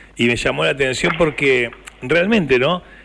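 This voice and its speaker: A man is speaking. He has a Rioplatense accent. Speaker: radio host. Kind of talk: radio interview.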